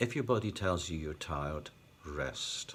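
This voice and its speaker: Somewhat breathy man at a fairly slow pace. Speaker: epilepsy vlogger. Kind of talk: personal vlog talk. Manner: occasional stutter, unedited.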